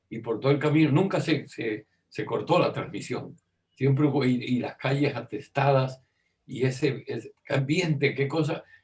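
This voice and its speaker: A man talks at a moderate pace in a somewhat breathy, fairly high-pitched voice with fairly even intonation. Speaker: radio and television broadcaster, journalist, interviewee. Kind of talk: interview answer recalling radio history. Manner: conversational, hesitant with repeated words.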